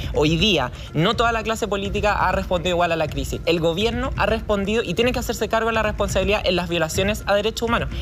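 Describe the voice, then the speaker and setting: A woman talks very fast at medium pitch with hardly any pauses, very even loudness, and ordinary pitch variation. Noticeable background noise and audible room echo are present. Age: 20s. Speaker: political candidate. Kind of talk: televised debate.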